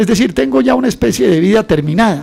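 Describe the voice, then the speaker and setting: A man with a high-pitched voice. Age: 60s. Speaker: politician, economist and columnist. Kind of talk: radio interview. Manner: animated.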